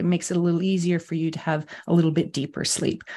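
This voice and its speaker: There is a quiet background behind a woman speaking at a fairly low pitch. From US. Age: 50s. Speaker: sleep coach. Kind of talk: interview chat.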